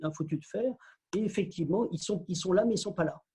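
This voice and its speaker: A man's dark, mellow voice with ordinary pitch variation. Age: 60s. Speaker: spiritual teacher and author. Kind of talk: casual interview conversation.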